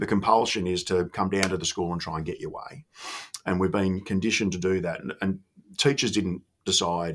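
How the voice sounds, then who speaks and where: A man's very deep, low voice with an Australian accent, moderate pace and fairly even intonation, on a very clean recording with a silent background. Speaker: former school principal and education consultant. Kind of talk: interview. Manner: informal.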